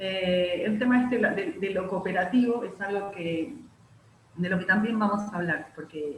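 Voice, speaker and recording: A woman speaks at a fairly slow pace with a medium pitch and ordinary pitch variation. Noticeable background noise and audible room echo are present. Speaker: university lecturer. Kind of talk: online lecture workshop. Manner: many filler words.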